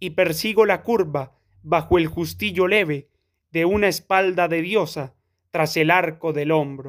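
Recorded very cleanly with a silent background, a man speaks at a very slow pace, his pitch high and his intonation fairly even. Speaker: audiobook reader. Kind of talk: poem read aloud.

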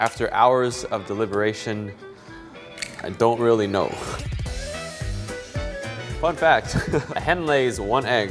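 A man's voice with clear music in the background. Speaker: cooking show host. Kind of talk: casual cooking tutorial chat. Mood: playful, joking. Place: kitchen.

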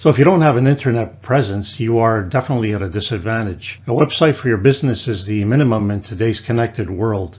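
A man's somewhat breathy voice at a fairly quick pace. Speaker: woodworking instructor. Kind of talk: lecture. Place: home room. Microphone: webcam.

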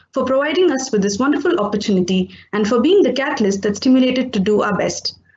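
A woman speaks very fast at a high pitch, her voice swinging very widely up and down. Room echo is audible. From India. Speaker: teacher. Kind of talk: vote of thanks. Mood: polite, grateful. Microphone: webcam.

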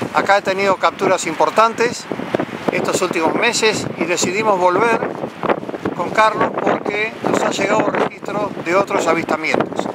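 A man's high-pitched voice with fairly even intonation, over noticeable background noise. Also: moderate pace. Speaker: UFO investigator, video channel host. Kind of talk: outdoor vlog narration to camera. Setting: outdoors on a cliff by the sea.

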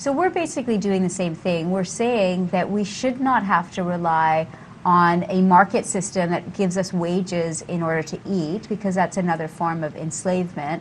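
A woman with a Canadian accent speaks at a moderate pace with hardly any pauses and ordinary pitch variation, over light background noise. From Vancouver, Canada; British Columbia, Canada. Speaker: artist and activist; talk show guest. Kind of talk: casual interview. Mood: calm, earnest. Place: studio. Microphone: lapel.

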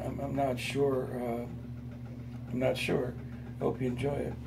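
Through noticeable background noise, a man speaks at a moderate pace with monotone, flat intonation. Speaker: boxing coach. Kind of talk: casual talk to camera. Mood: relaxed, friendly. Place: home room. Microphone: phone near.

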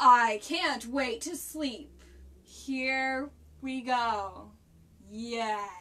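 A woman's put-on character voice, high in pitch, very slow, with long, frequent pauses. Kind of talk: children's picture-book read-aloud. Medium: read story. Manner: grumbling, sighing, weary.

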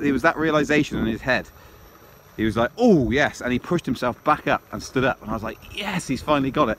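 Light background noise sits behind a man who talks at a fairly quick pace with ordinary pitch variation, the sound dry with no echo. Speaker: dog owner vlogger. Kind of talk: casual vlog chat. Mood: pleased, upbeat. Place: forest. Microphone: phone near.

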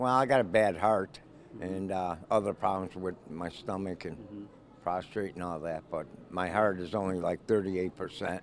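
A man with a very deep, low pitch, fairly even intonation and a moderate pace, in a dry sound with no echo and light background noise. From Illinois. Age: 70s. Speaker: soup kitchen volunteer. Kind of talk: interview answer. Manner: casual, plain-spoken. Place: hall. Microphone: handheld.

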